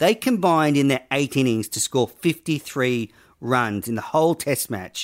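A man speaks at a moderate pace in a fairly high voice with lively intonation, the sound dry and close with no echo on a very clean recording over a silent background. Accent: Australian. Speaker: podcast host. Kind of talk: casual chat.

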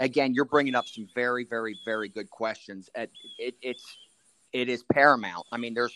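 A man with an American accent, medium pitch and a normal speaking voice, at a moderate pace. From Maryland, Anne Arundel County. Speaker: county sheriff. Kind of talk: interview.

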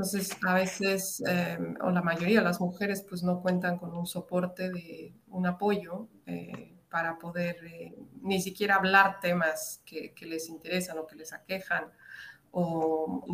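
A woman speaks very slowly at a fairly low pitch, her intonation fairly even while her loudness swings widely. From Latin America. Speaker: psychologist and women's mentor. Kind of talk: interview.

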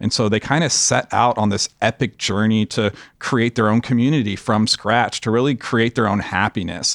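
A man with a plain, everyday voice speaks at a moderate pace and medium pitch, his intonation fairly even and his loudness very even, with hardly any pauses, in a dry, close recording with no echo that is very clean against a silent background. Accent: American. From Los Angeles, US. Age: 30s. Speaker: documentary director. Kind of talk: casual interview chat.

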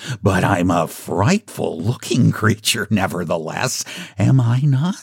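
The intonation stays lively throughout this plain reading aloud.

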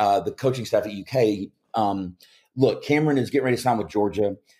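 A man's dark, mellow tone in a Kentucky accent, at a moderate pace with ordinary pitch variation, on a very clean recording against a silent background. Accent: Kentucky Southern US. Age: 40s. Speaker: former college basketball player and sports radio host. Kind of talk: casual interview chat. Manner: halting with filler words and repeats.

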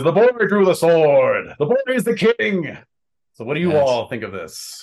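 Using a put-on character voice, a man speaks high for a man at a moderate pace with very wide pitch swings. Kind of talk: stately in-character speech.

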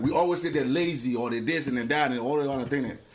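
Over noticeable background noise, a man talks at a very fast pace. His intonation is lively. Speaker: uncle of the host.

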